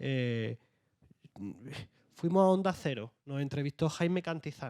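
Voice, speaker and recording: A man's dark, mellow tone with ordinary pitch variation. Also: dry, close sound with no echo. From Andalusia, Jaén. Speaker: author. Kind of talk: panel discussion.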